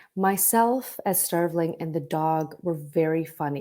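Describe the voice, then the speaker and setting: In a very clean recording with a silent background, a woman with a Canadian accent speaks at a fairly slow pace. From Vancouver, Canada. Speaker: actor. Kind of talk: interview. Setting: podcast. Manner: halting.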